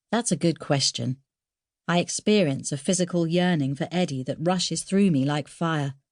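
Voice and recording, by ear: In a very clean recording with a silent background, a woman speaks low with a slightly mellow tone and ordinary pitch variation. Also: moderate pace.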